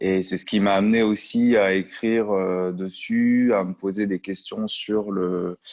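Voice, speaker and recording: A man's fairly low voice, flat and monotone, very slow with hardly any pauses. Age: 30s. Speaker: music industry consultant and trainer. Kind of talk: interview. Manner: hesitant, many fillers.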